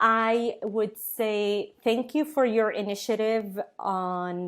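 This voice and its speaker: Someone with an Arabic accent speaks at a very slow pace with ordinary pitch variation, in a very clean recording with a silent background. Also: woman, fairly high pitch for a woman. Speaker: tech company co-founder. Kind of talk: podcast interview. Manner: halting, many fillers.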